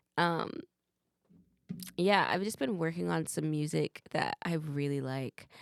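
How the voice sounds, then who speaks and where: Speaking fairly slowly with lively intonation, a woman with an American accent is heard in a dry, close recording with no echo. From Massachusetts, Boston. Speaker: singer-songwriter. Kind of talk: casual chat.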